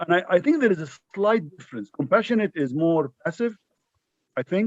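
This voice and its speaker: A high-pitched man at a fairly quick pace, lively in intonation, with a dry, close sound and no echo. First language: not English. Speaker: audience member asking a question. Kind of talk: Q&A question. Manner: halting.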